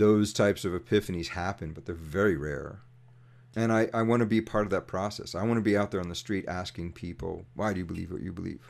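A man with an American accent at a very fast pace, with ordinary pitch variation, on a very clean recording with a silent background. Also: fairly low pitch for a man. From US, New York City. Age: 50s. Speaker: activist and mechanical engineer. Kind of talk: casual interview.

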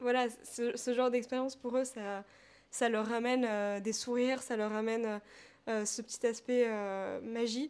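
A woman with a high pitch speaks at a fairly slow pace with long, frequent pauses. Her intonation is monotone and flat. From France, Paris. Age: 20s. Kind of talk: interview conversation.

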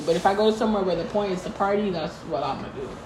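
There is noticeable background noise as a woman speaks. Her pitch is fairly high, with ordinary variation. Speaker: podcast co-host. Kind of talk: casual chat.

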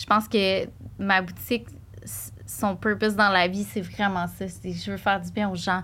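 With a Quebec accent, the speaker goes at a fairly slow pace, leaving long, frequent pauses and showing big swings in loudness. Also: woman. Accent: Québécois French. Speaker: shop owner. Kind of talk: casual chat. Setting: studio.

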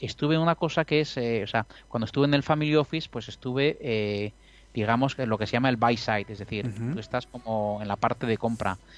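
Using a plain, everyday voice, a man of medium pitch talks at a fairly quick pace with ordinary pitch variation. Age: 50s. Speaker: professional trader. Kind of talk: casual chat.

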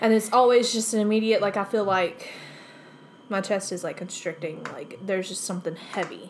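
A woman speaks in a normal speaking voice at medium pitch and a fairly quick pace. Her pitch variation is ordinary, and her loudness swings widely. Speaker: podcast co-host. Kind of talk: casual chat.

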